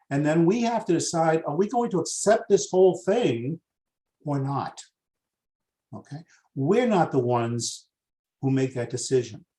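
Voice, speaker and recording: A man with an American accent, high-pitched, dark and mellow in tone, at a moderate pace with lively intonation. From US Northeast, Boston. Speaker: master coach, webinar presenter. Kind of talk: webinar training. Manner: excitable.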